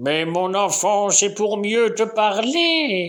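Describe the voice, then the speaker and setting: Very slowly and in a high register, the man delivers his lines in a put-on character voice. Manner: reassuring.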